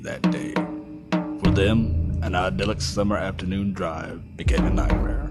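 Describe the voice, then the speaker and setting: With music in the background, a man with a very deep, low voice talks at a moderate pace, his pitch swinging very widely. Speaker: voice actor. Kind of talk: movie trailer.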